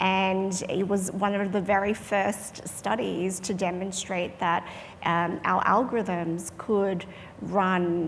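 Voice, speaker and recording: Audible room echo surrounds a woman with an Australian accent who speaks in a monotone, flat intonation. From Australia, trained in Perth. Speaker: medical device company clinician executive. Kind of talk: panel discussion.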